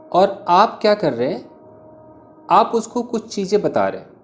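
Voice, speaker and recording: There is noticeable background noise in this clip. A man is the one talking. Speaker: English teacher. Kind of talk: tutorial. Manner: slow.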